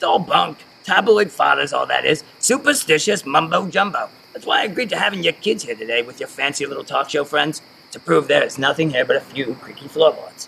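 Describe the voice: Using a put-on character voice, a man speaks at a fairly quick pace with few pauses, lively intonation, fairly high pitch, a bright, sharp tone, a slightly husky edge, and vocal fry.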